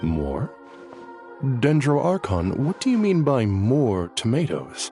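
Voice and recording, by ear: Over faint background music, a man in a put-on character voice speaks slowly at a medium pitch with a dark, mellow tone and very wide pitch swings.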